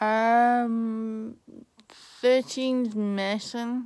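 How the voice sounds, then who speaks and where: A woman speaks with an English accent. The background is quiet. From England. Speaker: vlogger. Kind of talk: casual chat. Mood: cheerful, chatty. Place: home room. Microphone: phone near.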